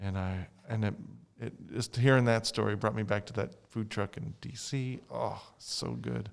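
Recorded very cleanly against a silent background, a man speaks with an American accent in a plain, everyday voice. His pitch is fairly low, his pace fairly slow, and his intonation lively. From United States. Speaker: library staff member and podcast co-host. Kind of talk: casual chat.

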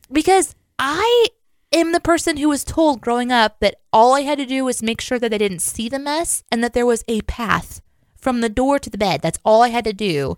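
In a Midwestern American accent, a woman with a high pitch speaks at a moderate pace with lively intonation, the very clean recording dry and close with no echo and a silent background. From US Midwest. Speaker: podcast co-host. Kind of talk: casual chat.

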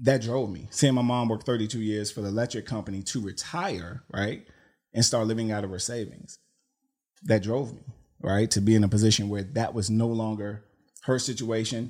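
A plain, everyday voice, a man with an American accent speaks at a moderate pace, with a medium pitch and fairly even intonation. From Washington DC. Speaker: retired mail carrier turned entrepreneur. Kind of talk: podcast interview.

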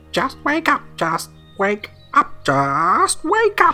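A put-on character voice with a high pitch moves at a very slow pace while faint music plays in the background. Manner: repetitive, insistent.

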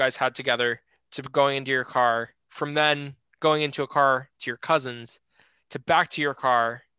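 Recorded dry and close with no echo over a quiet background, a man speaks at a fairly high pitch in a bright, sharp tone. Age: young. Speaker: podcast host. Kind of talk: interview.

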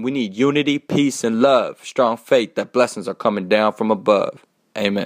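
With an unremarkable speaking voice, a man talks at a fairly quick pace and medium pitch, with ordinary pitch variation and a dry, close sound without echo. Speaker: rapper. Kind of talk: spoken word poetry. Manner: rhythmic, rhyming delivery.

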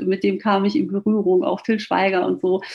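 A woman speaks at a moderate pace in a plain, everyday voice. Her pitch sits in the medium range. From Ruhr area, Germany. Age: 40s. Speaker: author and flight attendant. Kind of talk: interview.

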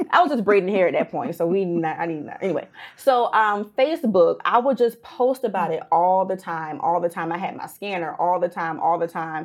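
Talking at a fairly quick pace, a woman has an unremarkable speaking voice at medium pitch with ordinary pitch variation. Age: 30s. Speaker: personal injury consultant. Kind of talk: casual interview.

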